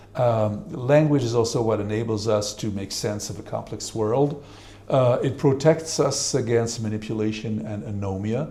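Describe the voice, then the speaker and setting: A man's voice moves with ordinary pitch variation, and audible room echo trails his words. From Switzerland. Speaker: professor. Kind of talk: panel discussion.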